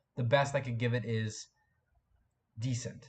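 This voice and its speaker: A man with a medium pitch speaks in a flat monotone, his voice somewhat breathy against a quiet background. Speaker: YouTube live streamer. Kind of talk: live stream chat. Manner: casual, halting with fillers.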